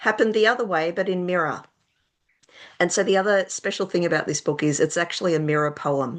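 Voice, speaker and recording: A woman with an Australian accent speaks at a medium pitch with lively intonation. The background is quiet. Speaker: children's author. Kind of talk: interview. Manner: casual, hesitant with fillers.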